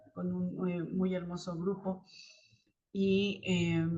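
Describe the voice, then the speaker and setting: With fairly level intonation, a woman talks in a mid-range pitch. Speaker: spiritual channel host, tarot reader. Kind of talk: spiritual talk to camera. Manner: halting, many fillers; uneven loudness, rising and falling.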